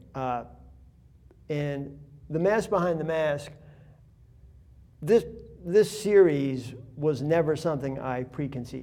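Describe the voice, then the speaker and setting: A fairly high-pitched man's voice, dark and mellow in tone, with audible room echo. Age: 60s. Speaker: artist. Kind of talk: interview. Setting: art gallery. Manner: rambling, conversational.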